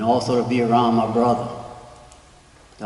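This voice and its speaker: A man with a medium pitch is speaking. Audible room echo and noticeable background noise surround his voice. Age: 70s. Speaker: retired community resident. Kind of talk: public comment.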